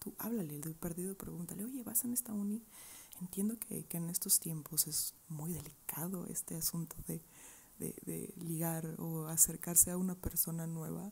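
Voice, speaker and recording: A soft-spoken woman talks at a moderate pace in a fairly low pitch with ordinary pitch variation. Her tone is dark and mellow, and somewhat breathy. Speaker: advice vlogger. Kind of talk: casual vlog chat answering viewer questions. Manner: soft close-mic ASMR voice. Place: home room. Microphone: earbuds.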